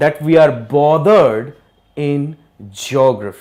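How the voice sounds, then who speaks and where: A man speaking at a very slow pace. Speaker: geography teacher. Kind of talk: lecture. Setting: live online class. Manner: slow, deliberate; code-switching Hindi and English.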